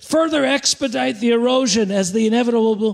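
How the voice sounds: This is a natural reading voice. The pitch varies in an ordinary way.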